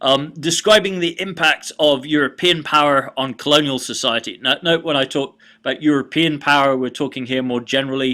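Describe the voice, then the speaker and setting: At a moderate pace, a man with a British accent speaks at a medium pitch in a bright, sharp tone. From Britain. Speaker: college history lecturer. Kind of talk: recorded online lecture. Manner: hesitant, many fillers.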